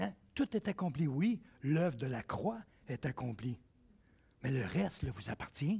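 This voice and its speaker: A man with a Quebec accent, fairly high-pitched, a dark, mellow and somewhat breathy tone, very wide pitch swings, a fairly slow pace and long, frequent pauses. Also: big swings in loudness, dry, close sound with no echo. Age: 60s. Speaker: pastor. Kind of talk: sermon. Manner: animated.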